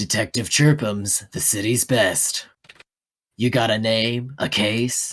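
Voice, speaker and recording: Fairly slow, mid-pitched delivery from a man doing a put-on character voice. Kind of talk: noir narration. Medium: role play.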